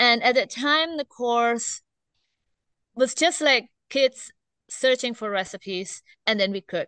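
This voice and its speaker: Against a quiet background, a woman with an Indonesian accent speaks in a high, bright, sharp voice at a fairly slow pace, with ordinary pitch variation, long, frequent pauses, and a dry, close sound with no echo. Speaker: teacher. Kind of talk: casual interview. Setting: outdoors.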